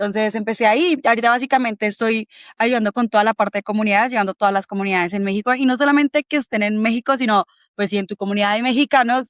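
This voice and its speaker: A woman speaks very fast at a fairly high pitch with ordinary pitch variation. The sound is dry and close, with no echo. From Colombia. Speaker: bitcoin community organizer. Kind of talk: interview conversation.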